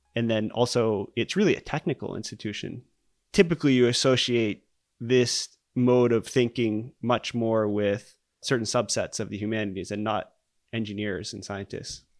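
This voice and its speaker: A man with an American accent has a normal speaking voice at a medium pitch, talking at a moderate pace with ordinary pitch variation. The recording is very clean, dry and close, with a silent background and no echo. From US Northeast (Maine). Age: 40s. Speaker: geophysics professor. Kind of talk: interview. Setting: dining room at home.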